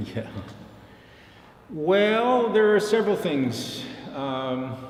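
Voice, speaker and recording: Over noticeable background noise and audible room echo, a man speaks very slowly in a high pitch with very wide pitch swings. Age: 70s. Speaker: professor. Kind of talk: interview. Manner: halting.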